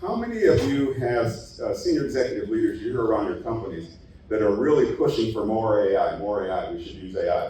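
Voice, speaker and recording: A man talks at a fairly quick pace. There is noticeable background noise and audible room echo. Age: 60s. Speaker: conference speaker, IT executive. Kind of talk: conference presentation. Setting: stage with audience. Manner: conversational, engaging audience.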